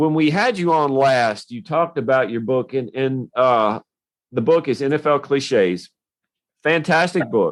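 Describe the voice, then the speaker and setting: A man speaks in a Tennessee accent, his pitch fairly high and his intonation lively. He talks at a fairly slow pace. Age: younger than 56. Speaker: podcast host. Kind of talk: podcast interview.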